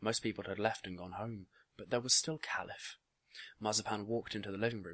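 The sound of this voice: The voice is an unforced reading voice with fairly even intonation. The background stays quiet.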